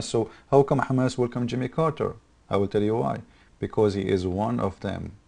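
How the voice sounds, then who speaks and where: Speaking at a fairly quick pace, a man with an Arabic accent has a medium pitch and a dark, mellow tone. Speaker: political commentator. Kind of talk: political monologue. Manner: animated; halting.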